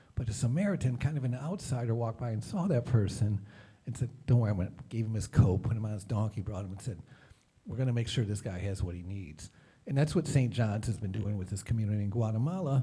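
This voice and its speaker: A man at medium pitch with a dark, mellow tone, an American accent, somewhat breathy delivery and a very fast pace. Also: ordinary pitch variation. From Detroit, US Midwest. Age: 50s. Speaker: nonprofit leader. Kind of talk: presentation.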